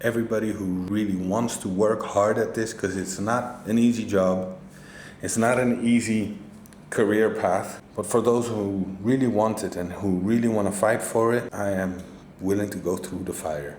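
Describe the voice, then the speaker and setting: Fairly low-pitched man with a non-native accent at a moderate pace, with audible room echo. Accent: non-native English speaker. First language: not English. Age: 40s. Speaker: cannabis grower. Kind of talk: casual vlog monologue.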